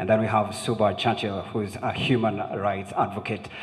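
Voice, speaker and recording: The man speaks at a fairly quick pace. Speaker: event moderator. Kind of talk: panel introduction. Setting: stage with audience. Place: hall. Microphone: handheld.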